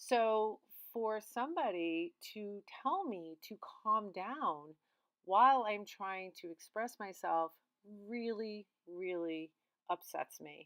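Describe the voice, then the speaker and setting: At a very slow pace with long, frequent pauses, a woman speaks in a medium pitch, her intonation lively and her loudness swinging widely. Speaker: art therapist. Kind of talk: vlog monologue. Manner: animated.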